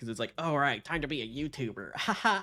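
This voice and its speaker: Music plays in the background as a man speaks at a moderate pace. His pitch is fairly high. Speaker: streamer. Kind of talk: casual chat.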